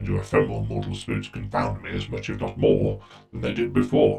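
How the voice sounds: A man performs a put-on character voice at an extremely low pitch with a dark, mellow tone, vocal fry, big pitch swings and a fairly quick pace, his robotic, processed sound carrying audible room echo over faint background music.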